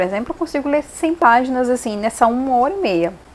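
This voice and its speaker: A woman's high-pitched voice with very wide pitch swings over noticeable background noise. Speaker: book vlogger. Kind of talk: casual vlog monologue. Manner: fast.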